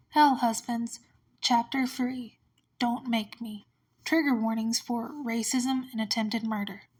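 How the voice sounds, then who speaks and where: With monotone, flat intonation, a woman speaks at a fairly high pitch and a moderate pace. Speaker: amateur podfic reader. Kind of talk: podfic reading of fan fiction.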